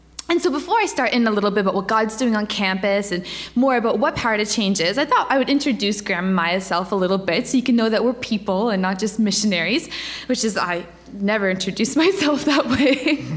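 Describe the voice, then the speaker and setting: The intonation is lively. The pace is very fast. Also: woman. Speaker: guest. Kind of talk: sermon. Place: church.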